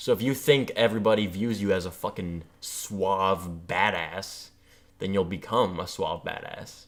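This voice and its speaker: At a fairly slow pace, a man speaks in a normal speaking voice, with a fairly low pitch and ordinary pitch variation. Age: 20s. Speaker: podcast co-host. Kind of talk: casual chat.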